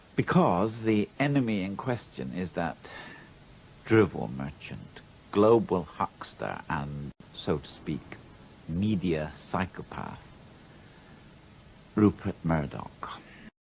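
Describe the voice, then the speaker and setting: A man's very deep, low voice with lively intonation, a very slow pace and long, frequent pauses, over background music. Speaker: playwright. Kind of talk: televised opinion monologue to camera. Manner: angry, intense, now mumbling, now rasping.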